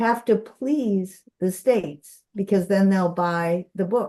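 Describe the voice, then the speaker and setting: Very slowly, a woman speaks in a dark, mellow tone with ordinary pitch variation. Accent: American. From US Midwest, Minnesota. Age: 70s. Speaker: visiting philosophy professor. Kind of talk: lecture with discussion. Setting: video call.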